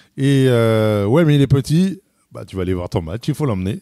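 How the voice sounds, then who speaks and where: Here a man with a dark, mellow tone and medium pitch speaks at a moderate pace with lively intonation. The recording is very clean and silent behind him, dry and close with no echo. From France, Paris area (Boulogne-Billancourt). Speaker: football fan. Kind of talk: interview. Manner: hesitant, many fillers.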